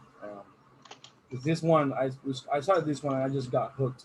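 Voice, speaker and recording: Over noticeable background noise, a man talks fairly quickly at a medium pitch with monotone, flat intonation. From Puerto Rico. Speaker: workshop instructor. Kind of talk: online training. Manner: fast.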